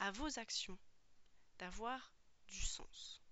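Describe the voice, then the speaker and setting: Whispering, a woman speaks at a very slow pace. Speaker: podcast host and personal development coach. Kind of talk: solo podcast monologue, coaching talk. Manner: casual, hesitant with frequent fillers.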